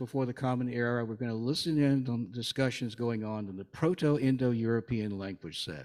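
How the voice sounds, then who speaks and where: A man with a Southern US accent at a fairly quick pace, medium-pitched, against a quiet background. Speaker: lay speaker. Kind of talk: sermon. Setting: church service with congregation. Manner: conversational, humorous.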